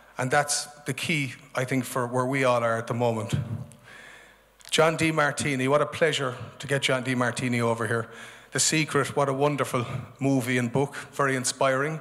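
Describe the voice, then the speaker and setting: The background is quiet as a man talks at a fairly quick pace. His intonation stays flat and monotone. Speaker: event host. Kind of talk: opening address to an audience. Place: stage. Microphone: handheld.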